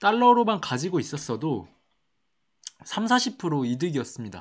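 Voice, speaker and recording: Against a quiet background, a man speaks in a high pitch. His voice swings very widely in pitch. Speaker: stock market YouTuber. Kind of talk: educational market commentary.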